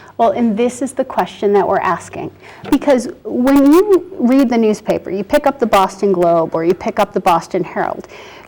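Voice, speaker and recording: Noticeable background noise sits under a woman speaking at a moderate pace, fairly high in pitch, with very wide pitch swings. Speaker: parent advocate. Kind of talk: studio interview. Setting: studio. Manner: animated.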